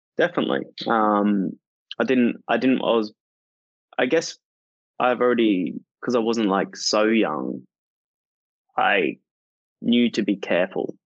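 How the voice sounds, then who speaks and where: A man with an Australian accent speaks at a fairly slow pace, with long, frequent pauses. His loudness stays very even. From rural northern Australia. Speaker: singer-songwriter. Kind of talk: interview conversation.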